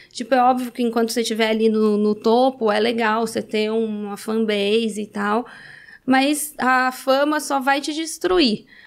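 A woman at a fairly slow pace with fairly even intonation, against a quiet background. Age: 30s. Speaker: reality show alum and adult content creator; adult content creator. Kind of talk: casual interview chat. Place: studio. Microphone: studio mic.

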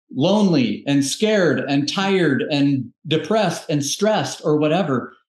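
Speaking at a fairly slow pace with lively intonation, the voice carries audible room echo over a quiet background. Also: man. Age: 40s. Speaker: health coach, entrepreneur. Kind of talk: podcast interview. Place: home room. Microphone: video call.

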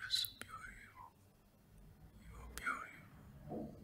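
A man whispering at a very slow pace amid loud background noise. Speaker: ASMR performer. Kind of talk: ASMR relaxation whisper. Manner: whispered. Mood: calm, reassuring.

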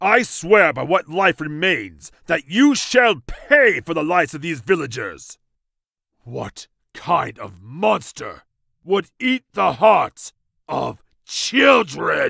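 A man talks at a high pitch and a very slow pace, with big swings in loudness. The recording is very clean, with a silent background. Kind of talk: archaic heroic speech. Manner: defiant and righteous, then tender and pleading.

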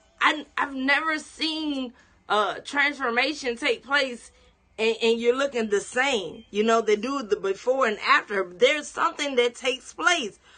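A woman uses a raised, projected voice at a high pitch. Her pace is fairly slow and her intonation lively. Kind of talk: sermon-style teaching broadcast. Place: home room. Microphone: phone near.

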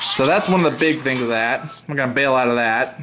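Speech at a very fast pace with ordinary pitch variation plays over noticeable background noise. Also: man. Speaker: gamer showing a modded console. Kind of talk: casual demo commentary. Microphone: phone near.

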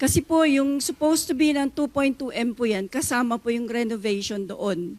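With a high pitch and lively intonation, a woman talks at a fairly slow pace with hardly any pauses. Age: 60s. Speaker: retired police officer. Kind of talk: testimony. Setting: studio.

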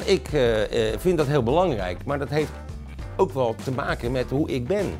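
Faint music plays in the background as a man speaks at a moderate pace with very wide pitch swings. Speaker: voice actor. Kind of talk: interview answer. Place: studio.

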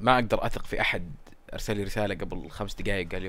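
Audible room echo surrounds a man who speaks very fast. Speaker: gaming YouTuber. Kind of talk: gameplay commentary. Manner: casual, chatty.

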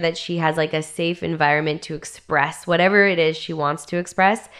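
A woman with a Canadian accent speaks in a plain, everyday voice at a fairly low pitch and a moderate pace. Her intonation is fairly even, and the background is quiet. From Northern Ontario, Canada; Ontario, Canada. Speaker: Muay Thai fighter and radio host; radio host. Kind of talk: casual interview chat. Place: studio. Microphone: studio mic.

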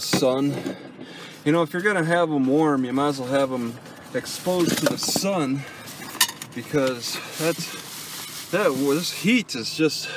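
At a fairly slow pace, a man talks with ordinary pitch variation in a dry sound with no echo, over noticeable background noise. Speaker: vlogger living in vehicle. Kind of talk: casual vlog chat. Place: car. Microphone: phone near.

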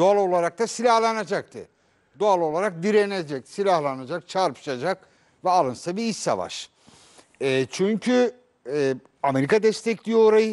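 The man's pitch is high and his intonation lively. He keeps a moderate pace against a quiet background. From Turkey. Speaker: journalist. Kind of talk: panel discussion. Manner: halting. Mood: earnest, indignant. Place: studio.

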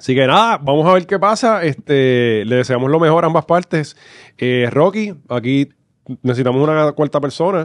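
The intonation is lively, and the sound is dry with no echo against a quiet background. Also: man, moderate pace. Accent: Puerto Rican. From Puerto Rico, Corozal; Puerto Rico. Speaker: comedy podcast co-host. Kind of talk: casual chat. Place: studio. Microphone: studio mic.

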